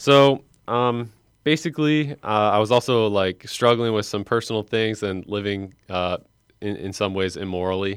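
This man has a normal speaking voice, pitched fairly low, with an American accent. He talks at a moderate pace with ordinary pitch variation, on a very clean recording with a silent background. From Lake County, Illinois. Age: 20s. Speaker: seminarian. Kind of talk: radio interview.

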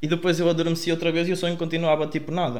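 A man at a fairly high pitch and a very fast pace. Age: 20s. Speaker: music producer. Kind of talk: casual chat.

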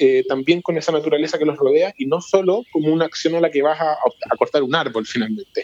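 Amid noticeable background noise, a man's fairly high voice sounds dry and close, with no echo. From Santiago, Chile. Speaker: foundation executive director. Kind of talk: interview.

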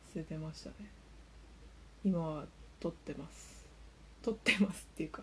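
Whispering and mumbling quietly, a woman talks at a moderate pace with long, frequent pauses and big swings in loudness. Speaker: solo podcaster. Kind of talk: casual monologue. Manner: mumbling, whispery and quiet; subdued, not bright or crisp.

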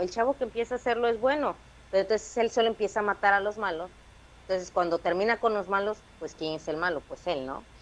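A woman with a strong Veracruz accent at a very fast pace. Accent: strong Veracruz (jarocho) Mexican. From Veracruz, Mexico. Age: 20s. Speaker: stand-up comedian. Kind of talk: casual chat.

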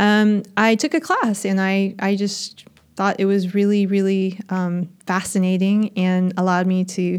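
A woman with an American accent and a plain, everyday voice speaks at a medium pitch and a fairly slow pace with ordinary pitch variation, on a very clean recording with a silent background. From United States. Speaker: astrophysicist. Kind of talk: interview.

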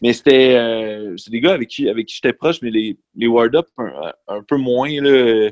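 This man speaks in a normal speaking voice at a medium pitch, at a fairly slow pace. His pitch varies in an ordinary way, while his loudness swings widely. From Quebec, Centre-du-Québec/Mauricie. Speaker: high school teacher and lyricist. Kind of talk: casual chat.

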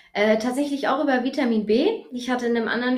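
With audible room echo around her, a woman speaks at a fairly high pitch with fairly even intonation. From Germany, Hesse (Taunus). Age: 30s. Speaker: fitness economist and back therapist. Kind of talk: interview.

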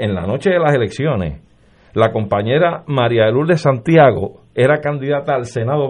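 With lively intonation, a man talks at a moderate pace in an ordinary speaking voice. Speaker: lawyer. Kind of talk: political panel discussion. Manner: formal.

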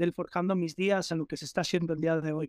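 The recording of this man is very clean, with a silent background and a dry, close sound with no echo. His intonation is fairly even. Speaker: rapper. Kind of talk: interview. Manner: halting, repeats words.

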